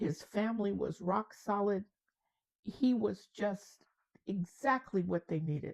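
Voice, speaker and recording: A woman speaks at a medium pitch in a dark, mellow tone, her intonation fairly even. The pace is fairly slow, and the sound is dry and close with no echo. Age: 80s+. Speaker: storyteller. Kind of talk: storytelling.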